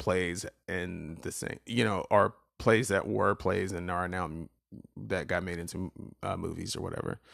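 A man talks at a fairly slow pace in a very clean recording, the background silent. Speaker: solo podcast host. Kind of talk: casual monologue. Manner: frequent filler words (um, uh); stop-start, with repetitions.

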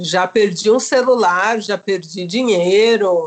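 A woman's rather high voice unfolds at a very slow pace. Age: 40s. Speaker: psychologist and storytelling podcaster. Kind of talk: casual chat.

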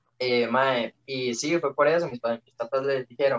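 Speaking fairly slowly with a Costa Rican accent, a man uses a medium pitch in a dry, close sound with no echo. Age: 18. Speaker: young competitive swimmer. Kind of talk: casual chat.

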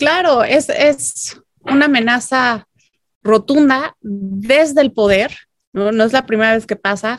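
A woman talks at a fairly slow pace in a plain, everyday voice. Her pitch is fairly high, with ordinary variation. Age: 30s. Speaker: political analyst. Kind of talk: casual chat.

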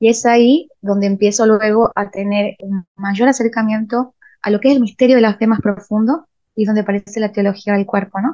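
This is a normal speaking voice, moderately paced and with fairly even intonation. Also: woman, fairly high pitch for a woman. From Argentina, Salta (Rosario de la Frontera). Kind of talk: interview.

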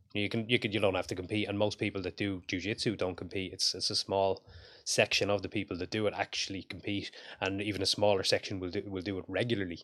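A man with an Irish accent at a very fast pace, fairly low in pitch and monotone, flat in intonation, on a very clean recording with a silent background. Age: 40s. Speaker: strength coach and combat sports commentator. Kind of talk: casual interview chat.

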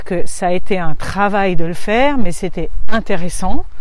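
Over noticeable background noise, a woman speaks at moderate pace and medium pitch with ordinary pitch variation. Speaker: positive parenting coach and podcaster. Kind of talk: solo podcast monologue. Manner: hesitant, with fillers.

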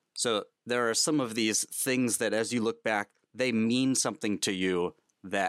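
A plain, everyday voice from a man, fairly low in pitch, at a fairly slow pace with ordinary pitch variation, in a dry, close sound with no echo and a very clean recording over a silent background. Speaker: podcast host. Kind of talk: interview chat.

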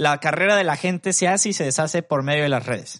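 Talking at a very fast pace, a man speaks in a Mexican accent. The sound is dry and close with no echo, over a quiet background. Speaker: podcast co-host. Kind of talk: casual chat.

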